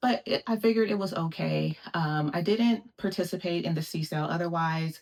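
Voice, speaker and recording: The speech moves at a moderate pace. Pitch varies in an ordinary way. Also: woman. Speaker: lifestyle vlogger. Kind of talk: product unboxing vlog.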